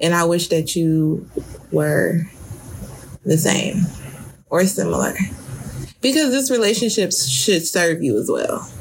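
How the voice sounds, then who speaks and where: Amid noticeable background noise and audible room echo, a woman speaks at a fairly slow pace with very even loudness and long, frequent pauses. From Detroit, US Midwest. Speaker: podcast co-host. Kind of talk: casual chat.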